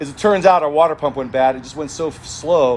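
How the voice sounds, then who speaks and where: Noticeable background noise behind a man's very fast speech, fairly high in pitch and with ordinary pitch variation. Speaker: off-road racing team owner. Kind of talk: casual chat.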